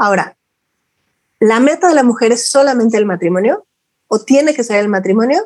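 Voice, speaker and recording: Fairly high pitch from a woman, somewhat quick in pace, with usual pitch movement. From Mexico, Guadalajara. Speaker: women's mentor and fertility professional. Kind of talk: interview testimony. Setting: video call.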